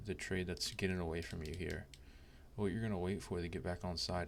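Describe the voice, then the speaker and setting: Soft-spoken, a man talks at a fairly quick pace with a very deep, low pitch and fairly even intonation. The room echo is audible. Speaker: trading educator. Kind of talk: tutorial. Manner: casual, halting with fillers.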